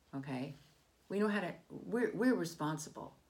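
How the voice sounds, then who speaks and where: There is vocal fry in this woman's voice. Her pitch swings very widely. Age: 60s. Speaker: political commentator. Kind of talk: opinion monologue. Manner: halting.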